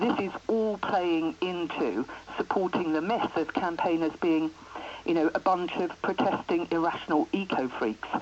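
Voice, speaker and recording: Over noticeable background noise, a woman talks at a fairly slow pace in a fairly low pitch. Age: 60s. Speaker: writer and anti-fracking campaigner. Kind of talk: radio phone-in interview.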